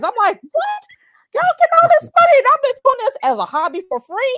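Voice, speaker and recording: In a slight Southern US accent, a woman speaks with an animated tone at an extremely high pitch, the sound dry and close with no echo. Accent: slight Southern twang. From Chicago, US. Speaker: career coach. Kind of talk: interview. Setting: live stream.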